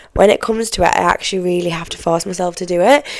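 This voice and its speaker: A woman talks at a very fast pace with an English accent. Her intonation stays fairly even. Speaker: podcast host. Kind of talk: casual chat. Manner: conversational, chatty.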